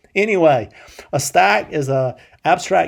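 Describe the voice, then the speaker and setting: A man with a South Carolina accent talks at a fairly high pitch. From US South, Columbia, South Carolina. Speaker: programming instructor. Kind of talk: lecture. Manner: casual, many filler words and repetitions.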